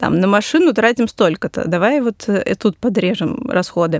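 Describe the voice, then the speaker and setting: A woman with an ordinary speaking voice talks at a moderate pace and medium pitch, with ordinary pitch variation, in a dry, close recording with no echo. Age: 30s. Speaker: financial journalist. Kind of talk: casual chat. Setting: studio.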